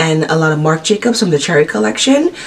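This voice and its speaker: A woman's very fast speech over noticeable background noise. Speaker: beauty vlogger. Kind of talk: product haul video. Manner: fast, rushed; animated.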